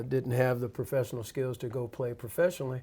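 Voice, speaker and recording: A man's dark, mellow tone at medium pitch. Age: 60s. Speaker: university athletic director. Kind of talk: interview. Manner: hesitant with frequent fillers.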